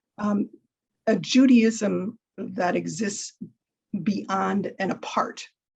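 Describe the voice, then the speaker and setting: A woman's fairly high voice with vocal fry and fairly even intonation. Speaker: panelist, member of a synagogue. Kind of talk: panel discussion. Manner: hesitant, many fillers and restarts.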